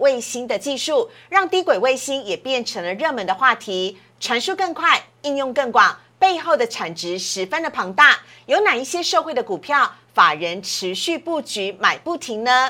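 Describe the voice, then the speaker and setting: Animated in tone, a woman projects a raised, high-pitched voice at a moderate pace with very wide pitch swings. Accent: Taiwanese. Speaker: financial TV show host. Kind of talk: finance show hosting; scripted preview narration.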